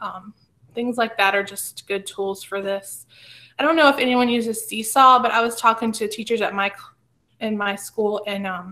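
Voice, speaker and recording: The voice has a bright, sharp tone, fairly even intonation and an American accent. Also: woman. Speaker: teacher leading staff training. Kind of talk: professional development presentation. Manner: fast. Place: home room.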